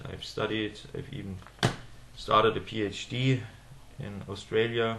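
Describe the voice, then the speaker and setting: In a German accent, a man with a fairly low pitch talks at a fairly slow pace in a monotone, flat intonation, with big swings in loudness, long, frequent pauses and audible room echo. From Germany. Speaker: political commentator. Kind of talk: monologue video address. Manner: halting, many fillers.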